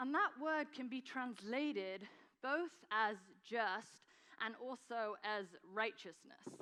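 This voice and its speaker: Speaking at a very slow pace with long, frequent pauses, a woman with an English accent has a fairly high pitch and lively intonation. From England. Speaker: nonprofit founder and guest speaker. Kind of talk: sermon. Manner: hesitant, many fillers.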